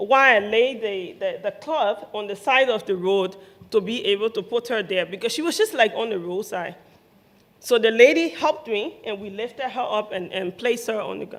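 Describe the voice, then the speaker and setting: A woman with a Liberian accent and a fairly high pitch speaks at a moderate pace, with ordinary pitch variation and big swings in loudness. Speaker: nurse, humanitarian aid worker. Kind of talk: live storytelling event.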